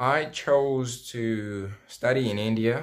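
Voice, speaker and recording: A man speaks with a French accent. The recording is very clean with a silent background. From Democratic Republic of Congo. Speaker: former international student. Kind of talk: interview answers.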